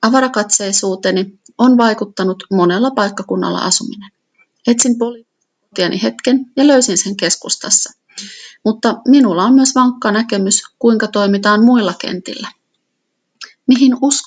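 Somewhat breathy, a woman's voice moves at a fairly slow pace. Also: fairly high pitch for a woman, ordinary pitch variation. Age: 40s. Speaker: local politician. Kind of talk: reading aloud.

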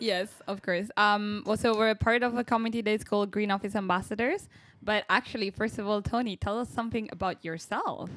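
A woman with an Italian accent talks at a fairly quick pace with hardly any pauses, her fairly high pitch held to fairly even intonation. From Italy. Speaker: medical student, student podcast co-host. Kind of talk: casual chat. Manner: hesitant, many fillers.

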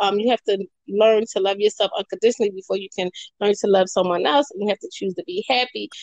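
Talking at a very fast pace, a woman with an American accent uses a medium pitch and ordinary pitch variation. The sound is dry and close, with no echo. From Philadelphia, Pennsylvania. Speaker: poet and writer. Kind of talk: interview.

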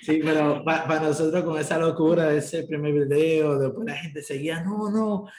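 A man's fairly high voice at a moderate pace, with noticeable background noise and audible room echo. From Dominican Republic. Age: 20s. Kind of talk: interview conversation.

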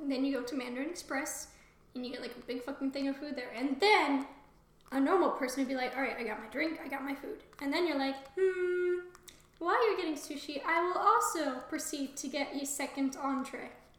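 The delivery is fairly quick, with ordinary pitch variation. Noticeable background noise runs underneath. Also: woman. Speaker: podcast co-host. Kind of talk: casual chat, reading fiction aloud.

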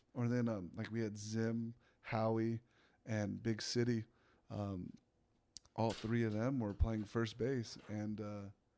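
Speaking with an American accent, a man has a dark, mellow tone. His pitch is medium and his intonation fairly even. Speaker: professional baseball pitcher. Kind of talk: casual chat.

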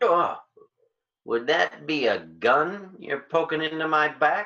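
In a put-on character voice, a man talks slowly at a fairly high pitch, with a bright, sharp tone, vocal fry, and lively intonation.

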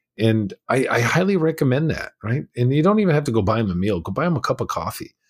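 Somewhat breathy and with lively intonation, a man speaks with an American accent in a very clean recording over a silent background. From California, US. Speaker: abuse survivor, former prisoner, speaker and mindset coach. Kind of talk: interview, personal testimony.

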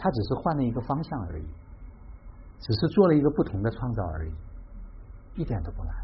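Speaking very fast yet with long, frequent pauses, a man at a medium pitch uses very wide pitch swings and vocal fry. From Hubei, Xiangyang. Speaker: tea gathering host. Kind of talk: reflective talk.

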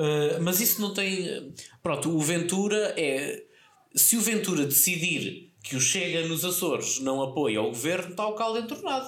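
A man with a high pitch makes very wide pitch swings while keeping his loudness very even, against noticeable background noise. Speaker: podcast co-host. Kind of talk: casual chat.

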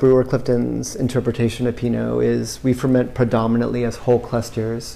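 Noticeable background noise behind a man talking very fast. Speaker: winemaker. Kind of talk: interview during wine tasting. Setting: tasting room.

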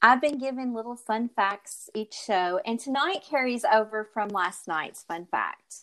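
Bright and sharp in tone, a woman speaks at a fairly slow pace with hardly any pauses, a fairly high pitch and lively intonation. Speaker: podcast co-host. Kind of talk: casual chat.

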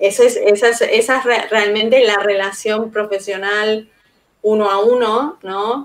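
A woman speaks at a fairly slow pace with a fairly high pitch and a monotone, flat intonation. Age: 40s. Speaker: frontend architect. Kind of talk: casual interview.

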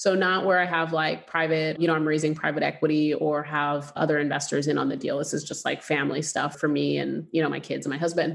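A woman's very deep, low voice with vocal fry, flat and monotone, rushing at a very fast pace with hardly any pauses. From Canada. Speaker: real estate investor. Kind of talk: interview.

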